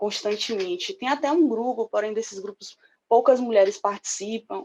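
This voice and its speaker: In a northeastern Brazilian accent, a woman talks at a fairly quick pace and fairly high pitch with lively intonation over a quiet background. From Northeast Brazil. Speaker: public security worker and motorcyclist. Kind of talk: interview answer recorded online.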